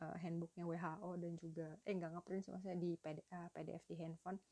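Dry and close with no echo, a woman's fairly low voice has a dark, mellow tone and monotone, flat intonation, moving at a moderate pace with hardly any pauses. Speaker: podcaster and mother sharing parenting tips. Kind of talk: solo monologue podcast. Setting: late-night home recording. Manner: casual, chatty.

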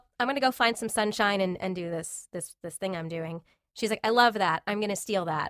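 This woman has an unremarkable speaking voice with an American accent, medium pitch, ordinary pitch variation and a fairly quick pace, captured on a very clean recording with a silent background and a dry, close sound with no echo. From US East Coast, Long Island, New York. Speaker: voice actor. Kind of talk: interview.

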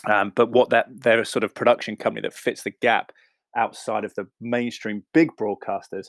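A man with an English accent speaks at a medium pitch and a moderate pace, with fairly even intonation. The recording is very clean, with a silent background and a dry, close sound with no echo. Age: 30s. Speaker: podcast host, sports broadcaster. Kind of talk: casual interview chat. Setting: home, spare room.

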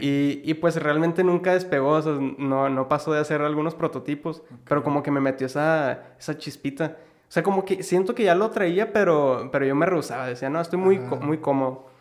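At a fairly quick tempo, an ordinary speaking voice carries ordinary pitch variation. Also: man, fairly high pitch for a man. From Mexico, Ciudad Juárez (Chihuahua). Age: 20s. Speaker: entrepreneur, clothing customization business owner. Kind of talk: casual interview chat.

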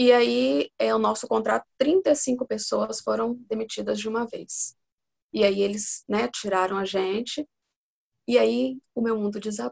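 In a dry, close sound with no echo, a woman speaks at a fairly slow pace. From Espírito Santo, Brazil. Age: 40s. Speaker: mother, accountant and pedagogy student. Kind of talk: casual interview.

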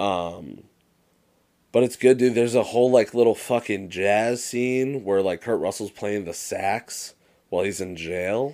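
In an American accent, a man speaks fairly slowly at a fairly low pitch with a dark, mellow tone. The recording is very clean, with a silent background. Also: ordinary pitch variation. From Massachusetts, US. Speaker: podcast co-host. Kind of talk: casual chat. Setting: recording in Massachusetts.

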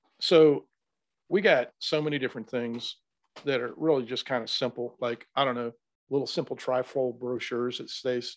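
The speaker is a man with a normal speaking voice and a medium pitch. He talks at a moderate pace with ordinary pitch variation. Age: 60s. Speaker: HVAC trade training expert. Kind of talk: interview.

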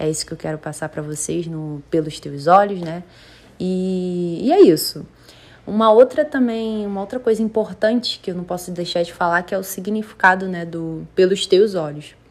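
Speaking at medium pitch with ordinary pitch variation, a woman moves at a moderate pace with big swings in loudness. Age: 20s. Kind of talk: casual monologue. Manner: animated.

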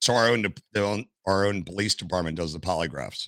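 Very deep and low in pitch, this man's voice has a bright, sharp tone and an American accent. He speaks at a fairly quick pace with ordinary pitch variation, the sound dry and close with no echo. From US, Washington D.C. area. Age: 50s. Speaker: retired firefighter and streamer. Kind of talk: casual interview chat.

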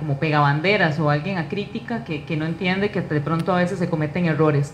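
Speaking at a fairly quick pace, a woman with a Costa Rican accent and a fairly low pitch comes through with noticeable background noise and audible room echo. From Costa Rica, Alajuela (Naranjo). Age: 30s. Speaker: political candidate. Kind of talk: interview.

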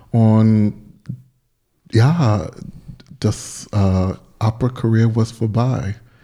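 A man's fairly low voice with an English accent, a dark, mellow tone and fairly even intonation. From US South, North Carolina. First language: English (speaking German). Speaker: soul singer. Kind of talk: casual chat. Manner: halting.

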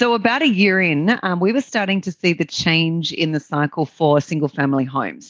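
A woman with an Australian accent speaks at a moderate pace in a very deep, low voice, her intonation lively. The sound is dry and close, with no echo. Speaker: real estate investor and business owner. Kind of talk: interview conversation. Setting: remote call, different time zone.

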